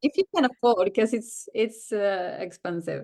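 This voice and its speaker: A woman with a Swedish accent. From southern Sweden. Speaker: working mother. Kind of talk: casual interview chat. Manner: halting, many fillers.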